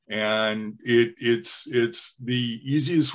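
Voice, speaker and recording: Speaking very slowly, this man keeps a medium pitch and ordinary pitch variation. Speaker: trainer. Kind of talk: training session. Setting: video call. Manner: halting.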